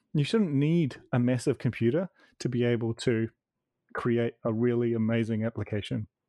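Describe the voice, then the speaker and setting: With a New Zealand accent and a dark, mellow tone, a man speaks at a medium pitch and a moderate pace, showing ordinary pitch variation and very even loudness, in a dry, close sound with no echo over a quiet background. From New Zealand (Wellington). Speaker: author. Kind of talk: casual chat.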